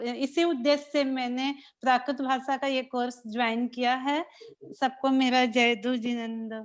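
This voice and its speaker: Her voice sits high in pitch. This woman keeps her intonation fairly even. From Delhi, India. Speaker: student, housewife. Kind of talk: self-introduction in online class.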